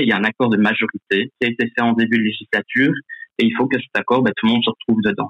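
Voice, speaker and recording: Pitched at a medium level, a man talks at a fairly quick pace. His intonation is monotone and flat. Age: 20s. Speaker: youth politician. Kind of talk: radio debate.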